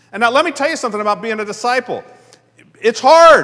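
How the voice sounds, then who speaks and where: A man with an extremely high pitch uses a raised, projected voice, an animated tone and lively intonation. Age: 60s. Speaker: guest pastor. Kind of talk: sermon. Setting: church.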